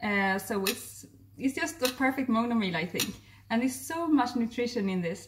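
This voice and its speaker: There is a Swedish accent in this woman's somewhat breathy voice, with ordinary pitch variation. Light background noise sits behind her. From Sweden. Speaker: raw vegan chef and health therapist, video blogger; video blogger. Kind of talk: casual vlog narration. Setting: outdoors on a walk. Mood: warm, enthusiastic. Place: kitchen. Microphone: phone near.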